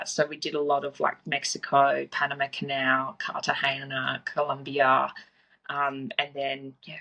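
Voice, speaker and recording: Bright and sharp in tone yet very deep and low in pitch, a woman speaks at a moderate pace with an Australian accent. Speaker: fitness coach. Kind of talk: podcast interview. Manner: casual.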